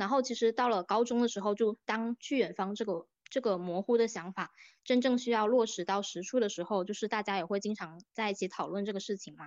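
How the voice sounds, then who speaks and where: Here is an ordinary speaking voice: a woman at medium pitch, speaking at a fairly quick pace with fairly even intonation. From Jinjiang, Fujian, southern Fujian. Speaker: podcast host and university student. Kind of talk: casual conversation, podcast discussion.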